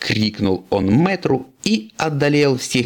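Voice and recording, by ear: This is reading aloud in a natural voice, marked by lively intonation.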